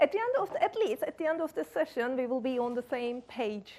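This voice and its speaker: Her voice is pitched high. The woman keeps a moderate speed. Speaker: conference speaker. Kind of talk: technical conference talk. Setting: conference room with live audience. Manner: hesitant, many fillers.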